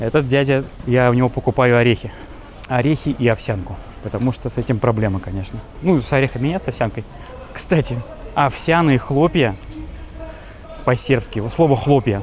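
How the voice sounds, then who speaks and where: A man at medium pitch with an animated tone, ordinary pitch variation, a moderate pace and long, frequent pauses, over noticeable background noise. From Russia. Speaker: travel vlogger. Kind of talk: casual walking vlog. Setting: outdoors walking in city.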